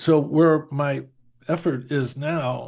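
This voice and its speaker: A somewhat breathy man with an American accent and ordinary pitch variation, against a quiet background. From US Northeast. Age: 70s. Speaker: meditation teacher. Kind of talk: casual interview conversation. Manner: halting, many fillers and restarts.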